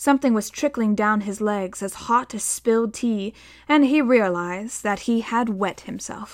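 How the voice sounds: A natural reading voice with pitch that moves in an ordinary way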